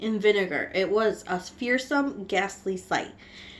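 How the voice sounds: The reading voice sounds natural. Pitch rises and falls in an ordinary way.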